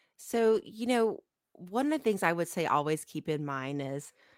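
Here a woman with an American accent and a normal speaking voice talks at a moderate pace in a fairly low pitch. Her intonation is lively, and the recording is very clean with a silent background. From Ohio, US Midwest. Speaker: accountant and business owner. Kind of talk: interview.

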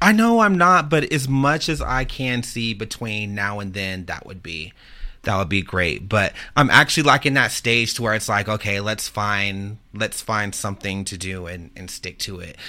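A man with an American accent speaks at a fairly low pitch in a bright, sharp tone, at a moderate pace with big swings in loudness. The recording is very clean with a silent background. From Texas, San Antonio. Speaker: mass shooting survivor. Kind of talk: testimony. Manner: halting.

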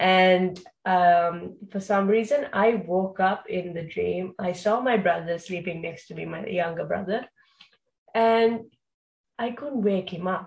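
At a fairly slow pace, a woman speaks somewhat breathily at a medium pitch with ordinary pitch variation. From Sri Lanka. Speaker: podcast host. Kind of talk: casual interview. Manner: hesitant, many fillers.

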